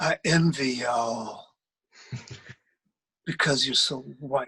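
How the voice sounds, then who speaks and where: A put-on character voice sounds raspy at a low-to-middle pitch. It moves at a very slow pace. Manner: slow, heavy-lidded, looking down.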